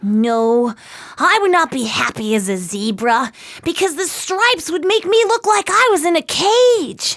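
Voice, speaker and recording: A put-on character voice, extremely high in pitch, jumps through very wide pitch swings at a moderate pace. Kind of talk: read-aloud children's story. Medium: read story.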